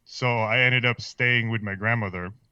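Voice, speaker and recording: Speaking with a slight Filipino accent, this voice moves at a fairly quick pace with fairly even intonation. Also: man. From Philippines. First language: Filipino language. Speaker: podcast guest. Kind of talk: casual chat. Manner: halting.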